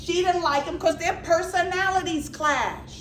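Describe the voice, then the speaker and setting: In an American accent, a woman speaks in an animated tone at a moderate pace, with audible room echo. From New York, the Bronx. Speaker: humor and healing speaker. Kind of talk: motivational talk.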